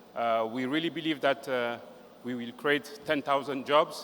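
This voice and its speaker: Speaking at a moderate pace, a man with a French accent has a fairly high pitch and fairly even intonation. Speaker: regional director giving closing remarks. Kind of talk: closing speech. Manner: halting, hesitant.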